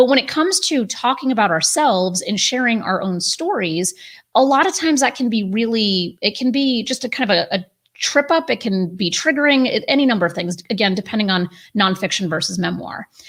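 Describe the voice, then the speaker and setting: Her delivery has very wide pitch swings at a fairly quick pace. The woman sounds somewhat breathy. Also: fairly high pitch for a woman. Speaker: publisher and writing coach. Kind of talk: tutorial. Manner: fast.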